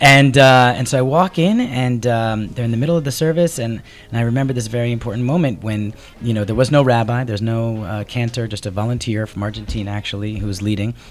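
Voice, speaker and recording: Amid noticeable background noise, a man with an American accent races along at a very fast pace, medium in pitch with ordinary pitch variation. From New Jersey, US. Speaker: TV commercial producer and tour guide. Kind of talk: radio interview. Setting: radio studio.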